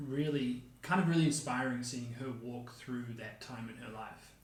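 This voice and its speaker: A man speaks with a New Zealand accent at a fairly slow pace. Audible room echo and noticeable background noise come through. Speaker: podcast co-host. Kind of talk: casual chat. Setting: home kitchen, dining table.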